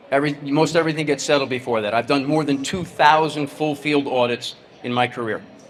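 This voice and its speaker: Noticeable background noise surrounds a man with an American accent who speaks at a fairly high pitch and fairly quick pace with fairly even intonation. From New Jersey. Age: 60s. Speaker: tax firm CEO, keynote speaker. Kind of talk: keynote presentation. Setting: stage with audience.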